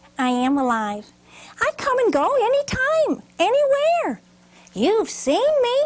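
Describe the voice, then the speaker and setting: Woman in a put-on character voice, extremely high, squeaky and breathy, with very wide pitch swings, a fairly slow pace and long, frequent pauses. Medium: read story. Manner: knowing, self-assured.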